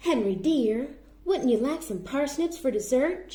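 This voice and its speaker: A woman puts on a character voice, pitched high. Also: moderate pace. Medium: read story.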